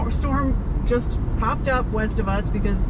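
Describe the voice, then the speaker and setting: A woman speaks over loud background noise, her voice dry with no echo. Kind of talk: casual vlog chat. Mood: excited, awed. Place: car.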